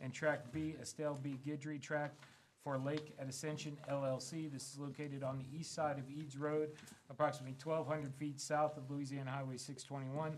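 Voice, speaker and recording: A man's somewhat breathy, monotone and flat voice at a moderate pace, with light background noise. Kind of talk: formal meeting procedure, reading agenda. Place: meeting room. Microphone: podium.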